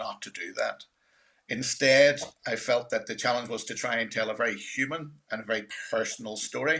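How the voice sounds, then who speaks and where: A man speaks with a Northern Irish accent at a fairly quick pace. His intonation is fairly even. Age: 60s. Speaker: filmmaker. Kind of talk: panel discussion.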